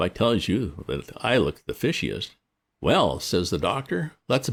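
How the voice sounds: A natural reading voice with lively intonation comes through against quiet surroundings.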